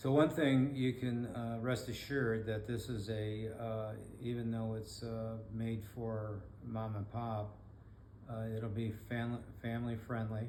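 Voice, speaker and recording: A man with an American accent speaks fairly slowly at a medium pitch, his intonation flat and monotone. Room echo is audible. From Michigan. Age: 70s. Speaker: blind rehab specialist. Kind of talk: podcast monologue. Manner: halting, many fillers.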